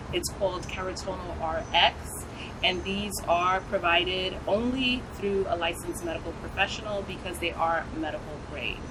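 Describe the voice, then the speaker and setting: A woman's voice with an American accent, noticeable background noise and audible room echo. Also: medium pitch for a woman, ordinary pitch variation, moderate pace. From US, New York. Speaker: nurse practitioner and skincare business owner. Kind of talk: interview.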